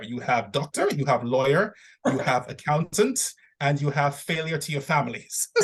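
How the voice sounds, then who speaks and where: A man's somewhat breathy voice, fairly high in pitch, with ordinary pitch variation and a moderate pace. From Nigeria. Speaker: voiceover actor and zoologist. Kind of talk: podcast interview answer.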